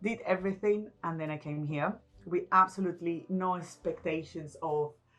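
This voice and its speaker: In a Venezuelan accent, a woman speaks at a moderate pace and a fairly low pitch with ordinary pitch variation. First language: Spanish. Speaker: business intelligence expert. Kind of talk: interview.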